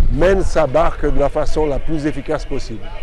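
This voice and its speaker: Against crowd noise in the background, a man talks with ordinary pitch variation in a dry sound with no echo. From Martinique. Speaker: retired volleyball player and coach. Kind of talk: interview answers. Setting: outdoors at a cycling stage finish, festive. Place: street. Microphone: phone near.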